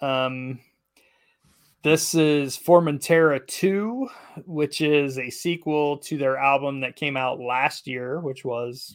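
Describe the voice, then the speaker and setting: A man with a normal speaking voice, fairly high-pitched for a man, with fairly even intonation, on a very clean recording with a silent background. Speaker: podcast co-host. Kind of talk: casual chat.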